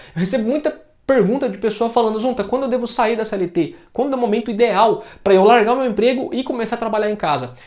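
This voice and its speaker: A man talks at a very fast pace with hardly any pauses. His pitch is extremely high, with ordinary pitch variation. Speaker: phone repair technician and YouTuber. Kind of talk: tutorial. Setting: home workshop. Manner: casual. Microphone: new lavalier mic plus second mic.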